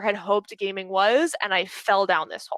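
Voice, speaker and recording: A woman with an American accent speaks in a bright, sharp, animated tone. The sound is dry and close with no echo. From Pittsburgh, Pennsylvania, US. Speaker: speaker at a community talk event, recruiter and gamer. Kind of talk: presentation talk. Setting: video call. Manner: fast.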